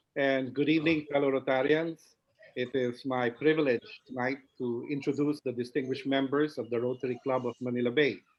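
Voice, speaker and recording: With a Filipino accent, the speaker talks at a fairly quick pace in a monotone, flat intonation. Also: man, medium pitch for a man. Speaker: past club president. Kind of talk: member introductions. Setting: video call.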